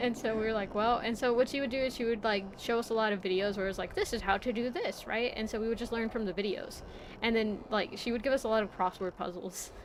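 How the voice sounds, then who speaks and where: A woman with a fairly high pitch talks at a very fast pace, barely pausing at all. Her intonation stays fairly even over noticeable background noise. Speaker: VTuber streamer. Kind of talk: casual livestream chat. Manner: rambling, casual.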